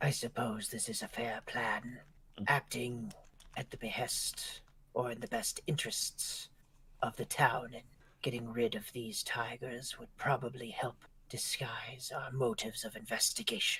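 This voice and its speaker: Moderate pacing in an assumed character voice. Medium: actual play. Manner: dry, wry.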